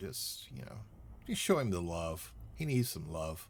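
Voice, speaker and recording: A man with a Southern US accent talks at a moderate pace, his voice showing vocal fry. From US South, Louisiana. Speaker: gaming streamer. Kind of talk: live gameplay stream chat. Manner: speech impediment, words get twisted; casual, chatty.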